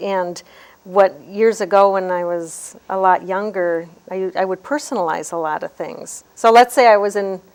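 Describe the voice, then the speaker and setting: A woman talks at a medium pitch with ordinary pitch variation. Hers is an ordinary speaking voice. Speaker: handwriting analyst. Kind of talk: interview.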